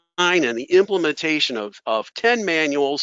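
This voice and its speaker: A man has a plain, everyday voice. He talks at a fairly slow pace with lively intonation. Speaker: professional association president. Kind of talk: webinar talk. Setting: webinar.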